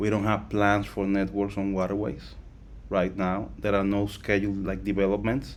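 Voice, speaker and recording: A man's fairly low voice with a non-native accent, fairly even intonation and a moderate pace. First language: not English. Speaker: crypto project founder. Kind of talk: live Q&A session. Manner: halting, with fillers and repetitions.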